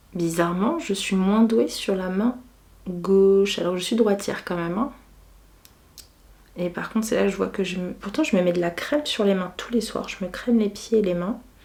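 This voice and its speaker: Long, frequent pauses break up the relaxed tone, heard over noticeable background noise. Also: woman, medium pitch for a woman, ordinary pitch variation. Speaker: beauty and lifestyle vlogger. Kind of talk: casual chat. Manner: relaxed, unhurried.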